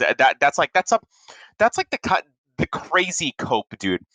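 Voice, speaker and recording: The voice is loud, bright and sharp, with vocal fry and very wide pitch swings. The sound is dry and close, with no echo. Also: man. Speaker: podcast co-host. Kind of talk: casual chat. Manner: animated.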